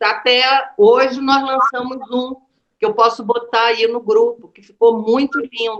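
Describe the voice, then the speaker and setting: A woman at a high pitch and a very slow pace. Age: 60s. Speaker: performance artist. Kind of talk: casual conversation about artistic research.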